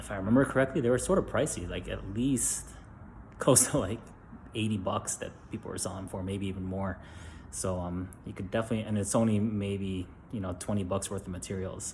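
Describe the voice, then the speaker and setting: A man's quiet, somewhat breathy whisper at a fairly quick pace. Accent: American. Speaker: DIY video maker, parent. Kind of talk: casual tutorial. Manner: whispering, quiet; hesitant, many fillers.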